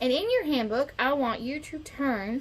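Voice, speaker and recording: A woman speaks at a high pitch. Her pace is very slow. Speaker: scout den leader. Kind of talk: online tutorial for children. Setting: online video.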